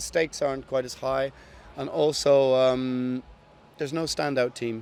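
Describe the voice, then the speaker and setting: With a Dublin accent, a man speaks at a moderate pace and a medium pitch, his intonation fairly even. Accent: Irish (Dublin). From Ireland, Dublin. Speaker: metal band musician. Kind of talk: casual interview. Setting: backstage at a festival.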